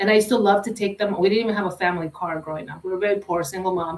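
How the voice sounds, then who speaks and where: The woman talks at a medium pitch, and her pitch shifts in an ordinary way. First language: Spanish. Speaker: panelist, educator. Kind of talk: panel discussion, personal introduction. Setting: virtual live stream. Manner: casual, animated.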